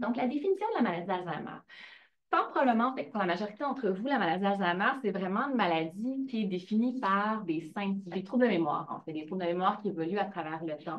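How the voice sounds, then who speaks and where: At a fairly quick pace, a woman speaks with lively intonation and a medium pitch. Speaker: professor and researcher. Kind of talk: lecture. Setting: lecture hall with audience. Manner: fast.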